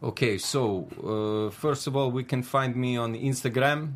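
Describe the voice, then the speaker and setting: An ordinary speaking voice from a man, medium in pitch with ordinary pitch variation. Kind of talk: casual panel chat.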